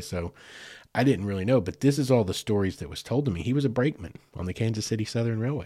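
In an Arkansas accent, a man speaks at a medium pitch with very wide pitch swings and a dark, mellow tone. The recording is very clean, with a silent background. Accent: US South (Arkansas). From western Arkansas, Fort Smith area. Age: 40s. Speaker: podcast host. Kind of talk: casual storytelling monologue.

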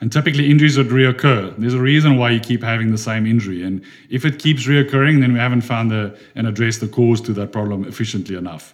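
A man's medium-pitched voice at a very fast pace with hardly any pauses, ordinary pitch variation and a South African accent. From South Africa, Durban. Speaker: physiotherapist. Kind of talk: podcast interview.

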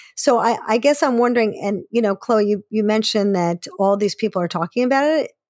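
A woman with an unremarkable speaking voice talks at a fairly quick pace and fairly high pitch, her intonation lively and her loudness very even, in a dry, close sound with no echo. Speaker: podcast host and therapist. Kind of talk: interview.

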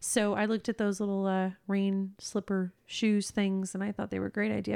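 A woman with an ordinary speaking voice, medium pitch and a moderate pace, in a dry, close sound with no echo. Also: hardly any pauses, very clean recording, silent background. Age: 30s. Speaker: podcast co-host. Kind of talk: casual chat.

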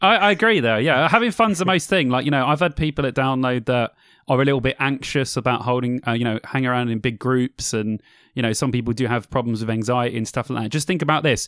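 Speaking at a very fast pace, a man keeps a medium pitch. His pitch variation is ordinary. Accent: English. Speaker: podcast co-host. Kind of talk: casual chat. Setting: video call. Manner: animated.

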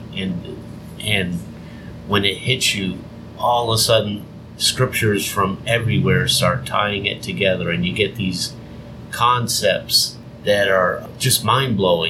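Over noticeable background noise, a man with a fairly low pitch talks at a fairly slow pace, taking long, frequent pauses. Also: ordinary pitch variation. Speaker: podcast host. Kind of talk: religious teaching podcast, casual chat. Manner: nervous speaker, self-described as scared in front of people.

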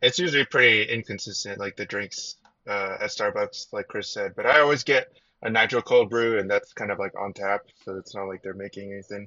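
A man speaks with a General American accent at a fairly quick pace. His volume shows big swings in loudness. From US Pacific Northwest, Seattle area. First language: Chinese. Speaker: information security guest. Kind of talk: casual chat.

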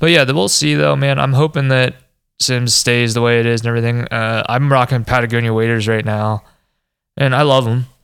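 A man with a plain, everyday voice speaks at a medium pitch and a fairly quick pace, with ordinary pitch variation and very even loudness. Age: 20s. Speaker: fly fishing podcast co-host. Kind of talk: casual chat.

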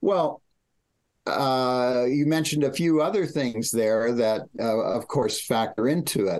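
A man's medium-pitched voice at a very slow pace, with ordinary pitch variation and a quiet background. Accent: American. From US Pacific Northwest. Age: 70s. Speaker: writer and researcher. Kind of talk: interview discussion. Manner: halting.

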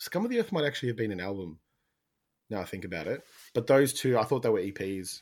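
The speaker talks at a very fast pace with an Australian accent and lively intonation, broken by long, frequent pauses. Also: man, medium pitch for a man. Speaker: podcast co-host.

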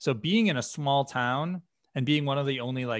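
A man's normal speaking voice, medium in pitch with ordinary pitch variation, in an American accent. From US Northeast, western Massachusetts. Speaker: software company founder and executive. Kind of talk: podcast interview.

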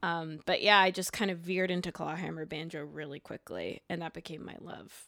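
Speaking at a fairly quick pace with hardly any pauses, a woman uses a fairly low pitch, a bright, sharp tone, vocal fry and flat, monotone intonation. Her loudness swings widely, and the recording is very clean with a silent background. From Quebec, Canada. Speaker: banjo player and songwriter. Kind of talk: casual interview chat.

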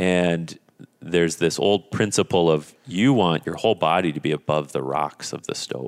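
With an Upper Midwest accent, a man speaks at a moderate pace in a very deep, low pitch with vocal fry and ordinary pitch variation, the sound dry and close with no echo. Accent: Upper Midwest (Minnesota). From northern Minnesota. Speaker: sauna business owner. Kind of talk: interview conversation.

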